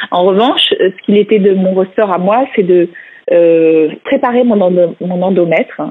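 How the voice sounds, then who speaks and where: The woman talks at a medium pitch, which varies in an ordinary way. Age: 40s. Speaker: author sharing fertility treatment story. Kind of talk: interview testimony. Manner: hesitant, many fillers.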